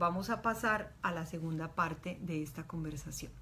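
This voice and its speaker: A woman with a normal speaking voice, lively intonation, and a moderate pace. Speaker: doctor and reproductive rights activist. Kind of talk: online talk.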